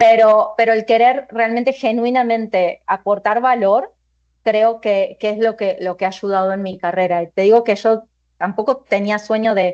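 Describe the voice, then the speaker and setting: A woman talks with an Argentine accent. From Argentina. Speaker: finance executive. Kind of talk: panel discussion.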